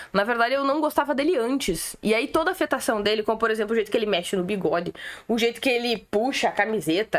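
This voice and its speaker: A woman talks at a very fast pace in a fairly high pitch. Her tone is animated and her intonation lively. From Rio Grande do Sul, Brazil. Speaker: political commentator, streamer. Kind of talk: casual live-stream commentary.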